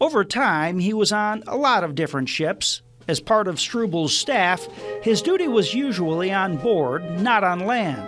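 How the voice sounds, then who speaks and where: A fairly slow delivery with lively intonation and background music. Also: man, high pitch for a man. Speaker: TV news reporter. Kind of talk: TV news feature narration.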